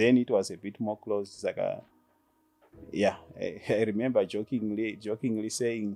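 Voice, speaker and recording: Over background music, the speech moves at a moderate pace with long, frequent pauses and a flat, monotone delivery. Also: man, fairly low pitch for a man. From rural Zimbabwe (Gutu). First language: Shona. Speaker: insurance business owner. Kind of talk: interview. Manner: halting.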